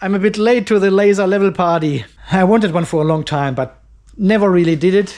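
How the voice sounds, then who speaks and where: Against a quiet background, a man speaks at a fairly quick pace with lively intonation. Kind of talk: casual vlog chat. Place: garage. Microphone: phone near.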